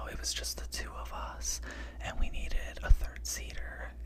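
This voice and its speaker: Whispering at a moderate pace, a man can be heard against noticeable background noise. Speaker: ASMR storyteller. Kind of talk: ASMR story time. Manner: whispered.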